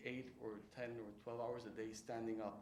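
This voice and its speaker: Amid audible room echo and noticeable background noise, a man speaks. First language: Spanish. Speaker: writer and lecturer. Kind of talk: lecture. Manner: halting.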